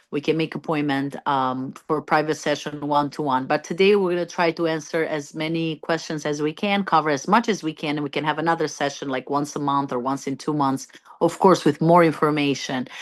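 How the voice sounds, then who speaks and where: With an Albanian accent, a woman speaks fairly quickly with hardly any pauses. Her voice is very deep and low, with fairly even intonation. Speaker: doctor. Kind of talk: informational talk to attendees.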